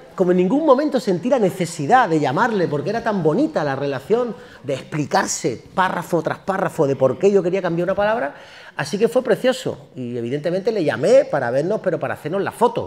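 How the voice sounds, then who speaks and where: Pitched high with very wide swings, a man delivers his words in an animated tone at a fairly quick pace. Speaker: singer and actor. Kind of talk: public talk interview. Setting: university auditorium with audience. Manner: fast.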